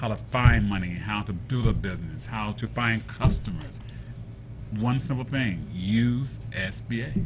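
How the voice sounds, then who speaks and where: Music plays in the background, with audible room echo. A man speaks at a fairly slow pace. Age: 60s. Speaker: entrepreneur. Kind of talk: talk show interview.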